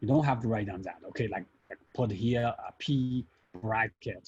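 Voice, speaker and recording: A man talks at a moderate pace with a medium pitch. His voice is somewhat breathy, with a dark, mellow tone. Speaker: statistics lecturer. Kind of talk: classroom lecture.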